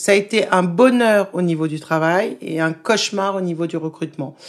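The voice belongs to a woman speaking with ordinary pitch variation. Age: 40s. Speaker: restaurant owner. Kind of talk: interview.

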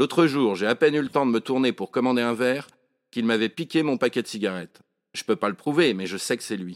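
A man speaking very fast at medium pitch in an animated tone, dry and close with no echo. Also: ordinary pitch variation, very clean recording, silent background. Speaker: author reading own monologue. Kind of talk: dramatic first-person narration of a comic monologue, read aloud with character dialogue. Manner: animated, wry and colloquial, with a storyteller's comic timing; shifts into voices for the characters' dialogue.

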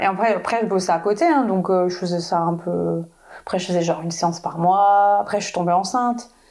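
A woman speaks at a moderate pace with a medium pitch and an ordinary speaking voice. The recording is very clean, with a silent background. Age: 30s. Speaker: photographer. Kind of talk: casual chat.

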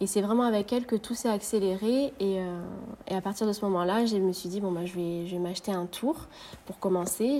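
With ordinary pitch variation, a woman's medium-pitched voice proceeds at a moderate pace. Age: 20s. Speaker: ceramicist. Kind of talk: interview. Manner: hesitant, many fillers.

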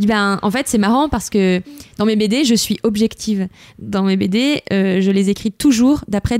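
A woman's dark, mellow tone with fairly even intonation, in a dry, close sound with no echo. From France, Lyon area. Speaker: author-illustrator. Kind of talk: casual chat.

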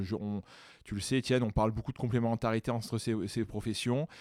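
A man with an ordinary speaking voice talks at a medium pitch and moderate pace, with fairly even intonation. The very clean recording has a silent background and a dry, close sound with no echo. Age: 30s. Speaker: physiotherapist and osteopath. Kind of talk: casual interview.

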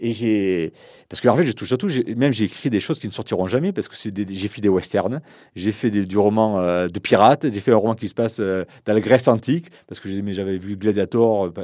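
The recording is very clean, with a silent background. A man speaks at a fairly quick pace in a dark, mellow, fairly low voice with ordinary pitch variation. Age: 50. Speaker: novelist. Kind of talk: interview.

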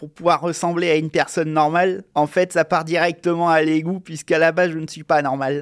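A man at a moderate pace, monotone and flat, in a very clean recording with a silent background. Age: 30s. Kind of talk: personal testimony.

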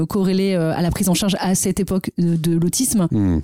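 Amid noticeable background noise, a woman speaks at a medium pitch with fairly even intonation. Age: 30s. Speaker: nonprofit director and cofounder. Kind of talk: interview. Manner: hesitant with fillers.

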